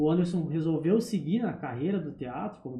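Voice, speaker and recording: Speaking moderately fast, this man has a high voice whose pitch moves in a normal way. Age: young. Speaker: barber. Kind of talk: casual chat.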